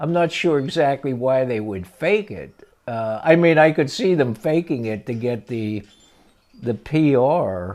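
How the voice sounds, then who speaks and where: A man with a central Pennsylvania accent is speaking. His pace is fairly slow. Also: medium pitch for a man. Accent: central Pennsylvania American. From Pennsylvania, Altoona. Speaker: grandfather recalling history. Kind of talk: casual interview reminiscence. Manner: halting, many fillers.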